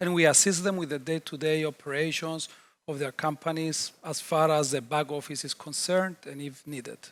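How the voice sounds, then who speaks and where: In a very clean recording with a silent background, a man speaks at a fairly high pitch with fairly even intonation. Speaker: chartered accountant. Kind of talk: interview answers. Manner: loud.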